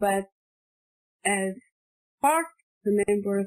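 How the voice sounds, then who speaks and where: A woman with a non-native accent speaks at a medium pitch, and the sound is dry and close with no echo. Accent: foreign. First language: not English. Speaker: postgraduate researcher. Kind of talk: academic presentation. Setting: online conference. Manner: halting, repeats words.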